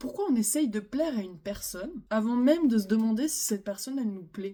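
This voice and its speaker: Soft-spoken, somewhat breathy delivery at a moderate pace, with a dark, mellow tone and lively intonation. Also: woman. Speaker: relationship advice youtuber. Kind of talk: casual monologue. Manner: hesitant, many fillers.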